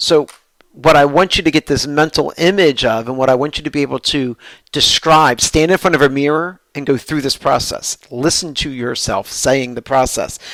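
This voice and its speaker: A man's fairly high voice with a New Jersey accent. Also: ordinary pitch variation, moderate pace, dry, close sound with no echo. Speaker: professor. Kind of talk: lecture. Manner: animated.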